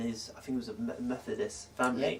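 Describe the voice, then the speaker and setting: Fairly quick speech with music in the background. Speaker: podcast host. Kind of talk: casual chat.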